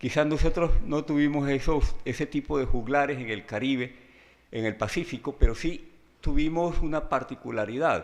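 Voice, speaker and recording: A man's fairly high voice at a moderate pace, with ordinary pitch variation against a quiet background. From Colombian Pacific coast, Guapi (Cauca). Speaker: writer and lecturer. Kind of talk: lecture. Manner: halting, with frequent fillers.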